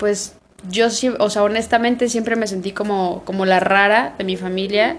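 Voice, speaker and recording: This woman has a plain, everyday voice at a medium pitch. Her intonation stays fairly even. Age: 30s. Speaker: podcast co-host. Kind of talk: casual chat.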